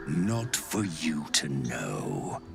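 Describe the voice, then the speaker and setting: A man puts on a character voice with a very deep, low pitch amid loud background noise. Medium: short film. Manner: calm, unhurried.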